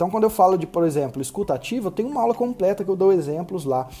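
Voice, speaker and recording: A man talks in a high pitch with lively intonation. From Brazil. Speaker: medical marketing consultant. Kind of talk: recorded online lecture. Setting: live online class at computer. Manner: fast.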